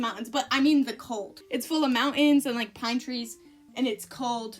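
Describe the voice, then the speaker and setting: A woman speaks at a moderate pace in a high-pitched voice with fairly even intonation, music playing in the background. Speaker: art channel co-host. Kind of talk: casual chat. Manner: halting.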